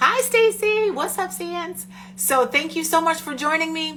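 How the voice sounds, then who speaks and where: A woman's animated voice at a moderate pace, with noticeable background noise. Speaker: podcast host. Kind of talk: casual chat.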